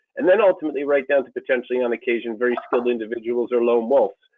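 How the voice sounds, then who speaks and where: With a Canadian accent, a man speaks at a very fast pace and a medium pitch. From Canada. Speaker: cyber threat consultant, retired intelligence executive. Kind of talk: interview. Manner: hesitant, many fillers.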